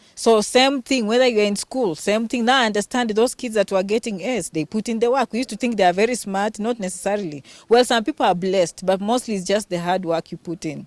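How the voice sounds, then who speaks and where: A woman with a Kenyan accent talks at a very fast pace with hardly any pauses, fairly high in pitch with ordinary pitch variation. The recording is very clean with a silent background and a dry, close sound with no echo. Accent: authentic Kenyan. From Western Kenya. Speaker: healthcare worker and vlogger. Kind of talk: interview.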